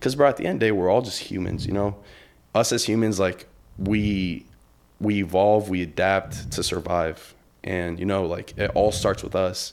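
Over a silent background on a very clean recording, a man speaks. His pace is moderate and his intonation fairly even. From Brazil. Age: young. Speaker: social media creator. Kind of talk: casual chat. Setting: studio.

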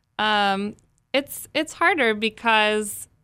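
A woman with a bright, sharp tone, fairly high pitch and an American accent, on a very clean recording with a silent background. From Texas, Plano. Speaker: arts public relations director and opera singer. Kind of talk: casual interview.

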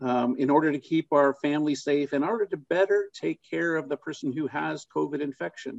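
Using an ordinary speaking voice, a man talks at a fairly quick pace with hardly any pauses, his pitch fairly high with ordinary pitch variation. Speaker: clinician. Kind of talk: webinar panel discussion.

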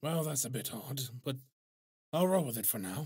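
Using a put-on character voice, a man speaks raspily at a medium pitch and a moderate pace with lively intonation. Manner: dry, laconic.

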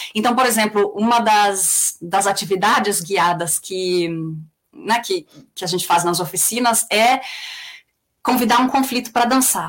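A woman with a São Paulo accent, fairly high in pitch, at a fairly slow pace with long, frequent pauses. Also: ordinary pitch variation. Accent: São Paulo Brazilian Portuguese. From Brazil, mostly São Paulo. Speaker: peace researcher and conflict facilitator. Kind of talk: interview.

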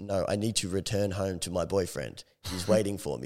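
A man puts on a robotic character voice pitched very deep and low. He talks at a fairly quick pace. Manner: flat, robotic.

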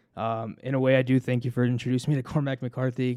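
A man with an American accent speaks at a medium pitch and fairly quick pace, his tone dark and mellow and his intonation fairly even, on a very clean recording with a silent background. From US, Denver. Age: 20s. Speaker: podcast co-host. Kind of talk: casual chat.

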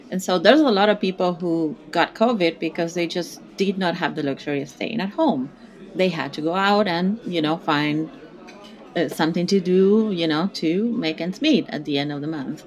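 There is noticeable background noise behind a woman speaking at a fairly low pitch. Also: ordinary pitch variation, moderate pace. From South America. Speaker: graduate student. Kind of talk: casual chat.

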